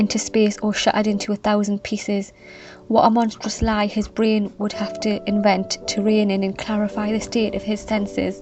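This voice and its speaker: Music plays in the background as a woman with a fairly high pitch talks in a monotone, flat intonation. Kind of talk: literary reading aloud of a classic letter, calm and reflective. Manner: calm, soft, ASMR-style delivery.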